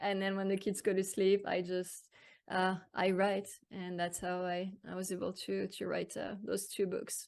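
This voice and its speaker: Against a quiet background, the speaker uses monotone, flat intonation at a moderate pace in a French accent. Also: woman. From France. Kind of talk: interview. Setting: podcast. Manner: halting.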